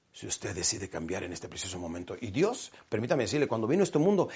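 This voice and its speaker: With an animated tone and very wide pitch swings, a man speaks at a fairly quick pace, his voice showing vocal fry. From Mexico, Chihuahua. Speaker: motivational speaker. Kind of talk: motivational talk.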